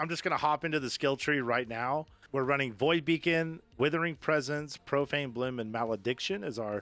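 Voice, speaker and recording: A man with a Texas accent speaks at a moderate pace in a fairly high, bright, sharp voice, with ordinary pitch variation and hardly any pauses. The recording is very clean, with a silent background. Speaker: gaming youtuber. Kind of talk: tutorial. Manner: many fillers (um, uh); casual, upbeat.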